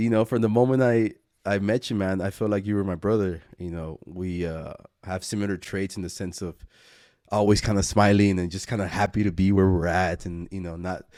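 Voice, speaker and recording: Recorded very cleanly against a silent background, a man with an American accent speaks fairly quickly in a fairly low pitch with a dark, mellow tone. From Laredo, Texas. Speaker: filmmaker, podcast co-creator. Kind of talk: casual chat. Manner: animated storytelling.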